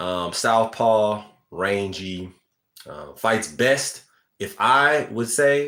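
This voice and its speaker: This man has a bright, sharp tone at medium pitch. His intonation is lively. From USA. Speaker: boxing commentator. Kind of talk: live stream boxing analysis with chat. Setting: live stream reading chat. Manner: casual, conversational.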